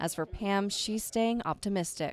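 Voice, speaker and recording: A woman talks in an ordinary speaking voice at a medium pitch. Her pace is moderate, with ordinary pitch variation. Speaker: TV news reporter. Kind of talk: TV news package voiceover. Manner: serious, measured.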